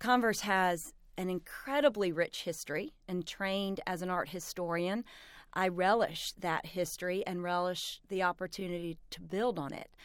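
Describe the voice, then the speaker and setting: A woman with an American accent and an unremarkable speaking voice, medium pitch, ordinary pitch variation and a moderate pace, on a very clean recording with a silent background. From South Carolina. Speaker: college president. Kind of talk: radio interview. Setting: studio.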